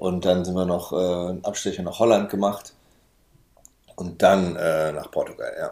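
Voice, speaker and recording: A man with a very deep, low pitch and a dark, mellow tone speaks in a flat monotone at a moderate pace, leaving long, frequent pauses. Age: 30s. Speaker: van traveller. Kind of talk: casual interview.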